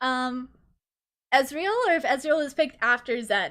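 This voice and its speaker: In a high pitch, a woman speaks with an animated, bright and sharp tone and ordinary pitch variation. The recording is very clean, with a silent background. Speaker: vtuber streamer casting esports. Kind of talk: live commentary costream. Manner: slurs words sometimes.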